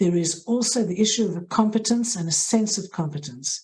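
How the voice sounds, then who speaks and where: A woman speaks with a dark, mellow tone. Her voice is somewhat breathy, with ordinary pitch variation. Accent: South African. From South Africa. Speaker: hospital social work head. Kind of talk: interview.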